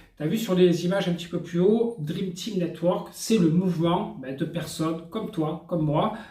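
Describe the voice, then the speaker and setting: At a moderate pace and with hardly any pauses, a man speaks in a high pitch with fairly even intonation. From France. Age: 40s. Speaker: network marketing entrepreneur. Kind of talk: sales pitch. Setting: hotel room. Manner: casual, hesitant with fillers.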